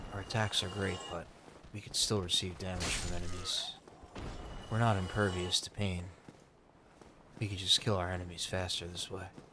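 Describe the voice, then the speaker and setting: A soft-spoken man with a very deep, low pitch talks at a moderate pace in a monotone, flat intonation. Long, frequent pauses and noticeable background noise run through the clip. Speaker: ASMR gaming channel host. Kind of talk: role-play narration of the game story in third person. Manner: soft-spoken, relaxing.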